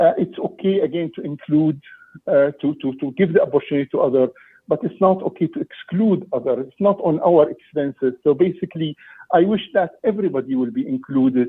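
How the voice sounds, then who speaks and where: With an Egyptian accent, a man talks at a fairly quick pace and high pitch. His intonation is lively. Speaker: parent delegate. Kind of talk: public meeting delegation. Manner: halting, many repetitions.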